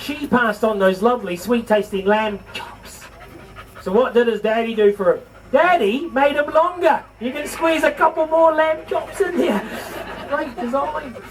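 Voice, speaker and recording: Noticeable background noise sits behind a man with a New Zealand accent. His voice is extremely high, with lively intonation. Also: moderate pace. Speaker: livestock show presenter. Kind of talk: live show to audience. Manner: animated.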